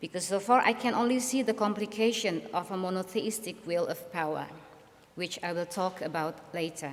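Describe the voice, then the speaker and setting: The speaker has an Indonesian accent and talks at a moderate pace. Pitch varies in an ordinary way. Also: woman. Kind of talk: lecture.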